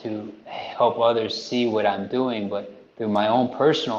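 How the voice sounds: Against audible room echo, a man with a fairly low pitch talks at a fairly slow pace with fairly even intonation.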